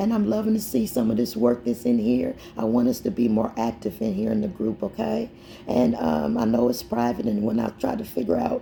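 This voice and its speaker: A fairly quick woman's voice amid noticeable background noise. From Indianapolis, Indiana. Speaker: poet and mental health advocate. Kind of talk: casual chat.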